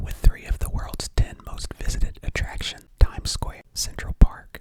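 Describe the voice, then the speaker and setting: Someone whispers over noticeable background noise. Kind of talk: casual ASMR build-along talking to camera, reading fun facts. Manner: whispered, soft-spoken.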